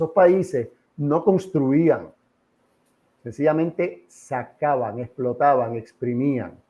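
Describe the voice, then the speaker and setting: Speaking very slowly with long, frequent pauses, a man uses a fairly high pitch, a dark, mellow tone and ordinary pitch variation. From Puerto Rico, San Juan. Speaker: political organization president. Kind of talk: interview. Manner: animated.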